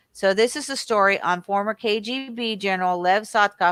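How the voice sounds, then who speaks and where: A woman at medium pitch uses a normal speaking voice, with a dry, close sound with no echo on a very clean recording with a silent background. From California. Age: 60s. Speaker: conspiracy researcher. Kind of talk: reading aloud news articles with commentary.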